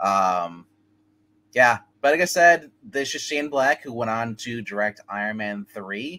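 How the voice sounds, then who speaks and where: A man's bright, sharp voice at a fairly slow pace, with ordinary pitch variation. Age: 40s. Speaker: movie show co-host. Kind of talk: casual chat. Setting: remote line. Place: home room. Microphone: webcam.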